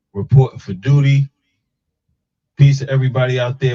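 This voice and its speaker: This man has a dark, mellow tone and a medium pitch, with an American accent. He sounds somewhat breathy and keeps a moderate pace. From Harlem, New York. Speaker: talk show host. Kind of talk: live talk show interview. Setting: live stream.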